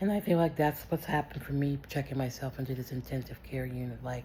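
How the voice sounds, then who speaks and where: A woman speaks in a very deep, low pitch. Her pitch variation is ordinary. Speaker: vlogger. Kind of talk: personal video diary. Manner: loud; animated.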